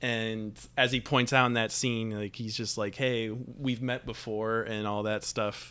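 A man's medium-pitched, bright, sharp voice, fairly slow and monotone with flat intonation and hardly any pauses, on a very clean recording with a silent background. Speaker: film podcast co-host. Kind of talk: casual chat.

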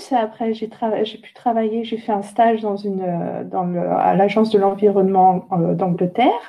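A woman at a medium pitch with monotone, flat intonation and big swings in loudness, fairly slow yet with hardly any pauses, against noticeable background noise. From France, near Orléans. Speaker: climate change expert. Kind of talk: interview. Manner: halting, many repetitions.

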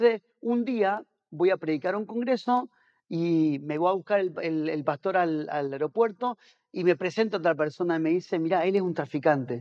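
With an Argentine accent, a man talks at a moderate pace in a high voice with lively intonation, recorded with a dry, close sound with no echo against a quiet background. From Argentina. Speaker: pastor and missionary. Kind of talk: casual interview chat. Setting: on location in a house.

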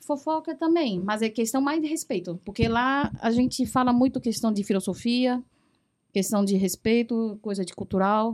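A woman with a Mandarin accent talks at a fairly slow pace. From Taiwan, central island. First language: Mandarin (speaking Portuguese). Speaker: foreign trade professional. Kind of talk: casual chat.

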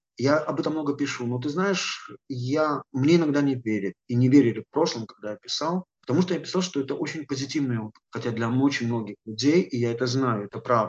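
A man speaks at a fairly quick pace and medium pitch, with ordinary pitch variation and a dry, close sound with no echo. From Belarus, Gomel. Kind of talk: interview. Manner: halting.

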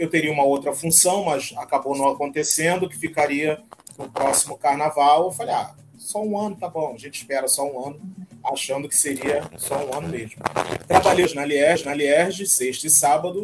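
A fairly high-pitched man at a moderate pace, with ordinary pitch variation, big swings in loudness, and noticeable background noise. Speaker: samba parade announcer. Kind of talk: casual chat.

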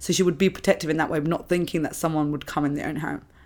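A woman's fairly low voice with fairly even intonation, in a very clean recording with a silent background. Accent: London. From London, England (British Indian family). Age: 30s. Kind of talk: personal testimony in interview.

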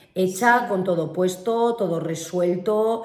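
Pitch moves in an ordinary way here, with noticeable background noise and some audible echo from the room. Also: woman. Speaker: podcast co-host, business owner. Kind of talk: casual chat. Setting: at home.

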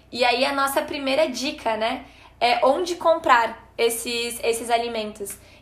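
A woman speaks at a high pitch. Her intonation is fairly even, and room echo is audible. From Rio Grande do Sul, Brazil (Gramado). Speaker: nutrition student. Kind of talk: podcast tips chat.

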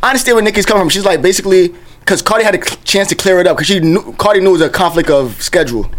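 Talking at a very fast pace in a New York accent, a man with a high pitch keeps his loudness very even and his pitch variation ordinary, with noticeable background noise behind him. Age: 20s. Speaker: podcast co-host. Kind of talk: casual chat.

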